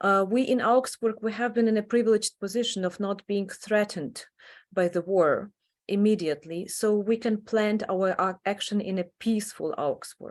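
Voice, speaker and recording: Speaking with a Ukrainian accent, a woman keeps a medium pitch, a moderate pace and fairly even intonation. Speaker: adult education professor and association founder. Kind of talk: online presentation. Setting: online meeting. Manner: halting, many fillers.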